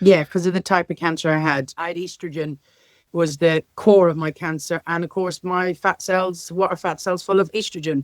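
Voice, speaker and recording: On a very clean recording with a silent background, a woman with a Northern Irish accent talks at a moderate pace in a fairly low pitch. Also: dry, close sound with no echo. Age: 50s. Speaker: care sector leader. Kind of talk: interview. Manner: animated.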